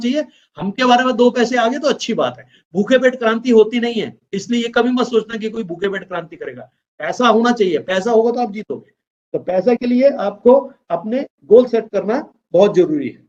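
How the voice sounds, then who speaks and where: A man's voice at an extremely high pitch, with big swings in loudness. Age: 60s. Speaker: business trainer. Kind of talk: motivational training talk.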